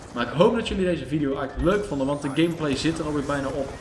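Over music in the background and audible room echo, a man with a fairly high pitch speaks at a very fast pace. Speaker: gaming YouTuber. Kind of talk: gameplay commentary. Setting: separate room at home. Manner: casual, hesitant with fillers. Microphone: possible echo or odd sound.

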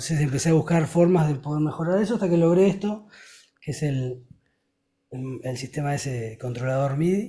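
Somewhat breathy, the voice moves at a fairly quick pace, with a dark, mellow tone and ordinary pitch variation. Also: man, fairly high pitch for a man. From Uruguay. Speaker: rock singer and guitarist; guest. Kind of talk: interview. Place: home room. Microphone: studio mic.

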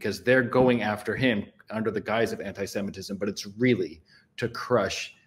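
The male speaker keeps a moderate pace. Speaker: podcast co-host, remote guest. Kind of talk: political commentary. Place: home room.

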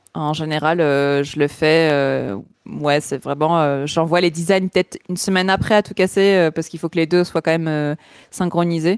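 A woman talks at a moderate pace with a very deep, low pitch and fairly even intonation. The background is quiet, and the sound is dry with no echo. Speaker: art director, illustrator and motion designer; guest. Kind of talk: podcast interview. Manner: loosely articulated.

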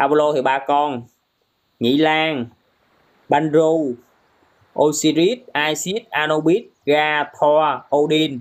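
Against a quiet background, a man speaks very slowly, leaving long, frequent pauses. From Vietnam. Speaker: gaming live streamer. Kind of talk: casual live stream commentary. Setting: TikTok live stream. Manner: animated.

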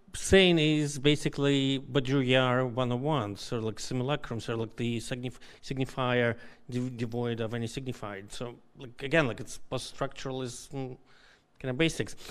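A man talks with fairly even intonation, keeping a moderate pace. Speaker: audience member. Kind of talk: academic Q&A. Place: hall.

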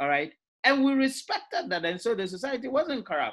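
In a quiet background, a man's voice moves through very wide pitch swings. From Ghana. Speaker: university lecturer. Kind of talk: lecture. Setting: video call. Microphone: video call.

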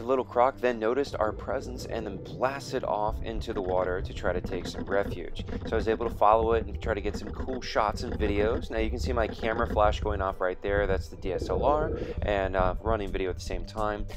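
A man talking at a fairly quick pace with hardly any pauses over clear music in the background. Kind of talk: commentary.

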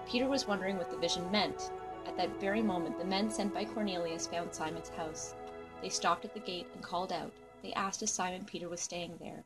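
Music plays in the background as a woman talks at a fairly quick pace. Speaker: scripture narrator. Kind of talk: scripture reading.

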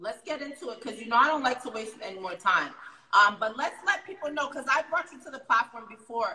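A woman's high-pitched voice with an American accent, very fast pace, big swings in loudness and audible room echo. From New York City, Harlem; New York City. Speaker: online talk show host. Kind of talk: casual interview. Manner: animated. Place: home room. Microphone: phone near.

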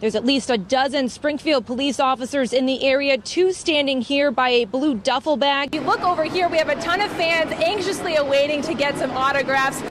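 Over light background noise, a woman with an American accent talks at a fairly quick pace with hardly any pauses, using a high pitch, ordinary pitch variation and very even loudness in a dry sound with no echo. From United States. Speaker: TV news anchor and reporter. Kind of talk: TV news reporter stand-ups and packages. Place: street. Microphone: handheld.

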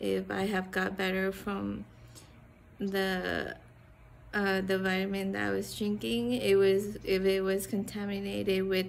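A woman speaks at a very slow pace. Light background noise sits behind her. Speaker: vlogger. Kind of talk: casual vlog chat. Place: garden. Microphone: phone near.

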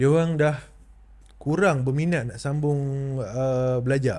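A man's fairly high voice, somewhat breathy, with a dark, mellow tone and ordinary pitch variation. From Malaysia. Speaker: podcast host. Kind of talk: interview. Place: studio. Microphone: studio mic.

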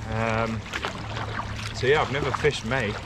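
Over loud background noise, a man talks at a fairly slow pace, the sound dry with no echo. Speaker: kayak angler vlogger. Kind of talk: casual vlog chat. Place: boat. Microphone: camera far.

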